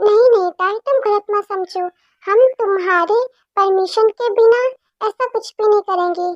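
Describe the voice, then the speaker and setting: Using a put-on character voice, a woman sounds squeaky at an extremely high pitch. Her intonation is fairly even and her pace moderate. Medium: read story. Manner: warm, coaxing.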